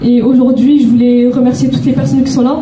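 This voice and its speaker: A high-pitched woman in a Toulouse accent, with audible room echo and noticeable background noise. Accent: southern French (Toulouse). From Toulouse, southern France. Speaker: charity president, award winner. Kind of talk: acceptance speech. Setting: stage with audience, microphone. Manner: shaky, halting.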